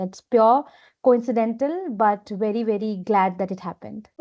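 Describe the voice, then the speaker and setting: A woman with an Indian accent speaks at a fairly quick pace in a fairly high pitch. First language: Hindi. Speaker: business executive. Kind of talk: interview.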